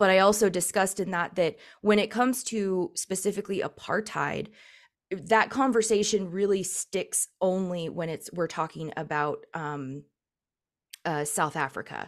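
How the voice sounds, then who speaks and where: On a very clean recording with a silent background, a woman talks at a moderate pace in a medium-pitched voice with ordinary pitch variation. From Palestinian-American, US. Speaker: political commentator, YouTuber. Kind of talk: casual interview conversation.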